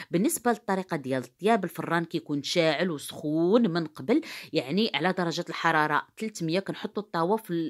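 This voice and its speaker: A woman's fairly low voice in a Moroccan accent, fairly quick, with ordinary pitch variation, over a quiet background. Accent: Moroccan Darija. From Morocco. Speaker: cooking youtuber. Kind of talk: cooking tutorial. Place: kitchen. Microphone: phone near.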